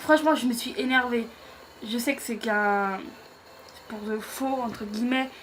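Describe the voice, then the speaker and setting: A woman with a high pitch, fairly even intonation, and a fairly slow pace. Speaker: YouTuber, wrestling show reviewer. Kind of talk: casual show recap to camera. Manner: hesitant, many fillers.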